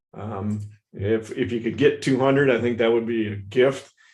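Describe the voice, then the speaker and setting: Surrounded by audible room echo, a man of medium pitch talks at a moderate pace with monotone, flat intonation. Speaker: market analyst. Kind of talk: live webinar market analysis. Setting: live stream. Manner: casual, many fillers.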